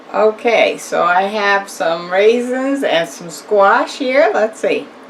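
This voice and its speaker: Very slow speech from a woman with a fairly high pitch, lively intonation and big swings in loudness, over noticeable background noise. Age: old. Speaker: home cook. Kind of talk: casual cooking demonstration to camera.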